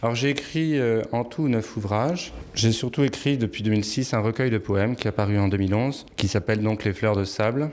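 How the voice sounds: A man talks at a fairly quick pace with a fairly low pitch. His tone is slightly mellow, with ordinary pitch variation.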